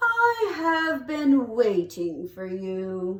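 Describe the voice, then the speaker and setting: The voice is a put-on character voice pitched fairly high. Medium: read story. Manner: slow, solemn.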